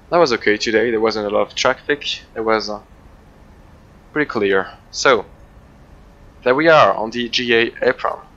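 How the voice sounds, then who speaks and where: At a moderate pace, a man with a non-native accent speaks at medium pitch, with ordinary pitch variation, big swings in loudness and long, frequent pauses. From Switzerland. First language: not English. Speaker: flight sim video creator. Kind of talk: gameplay commentary. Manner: halting, many fillers.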